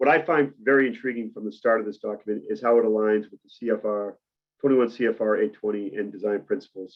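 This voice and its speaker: A man speaks with a Boston accent. His pace is very fast. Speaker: medical device cybersecurity presenter. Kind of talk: webinar presentation. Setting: webinar with camera off.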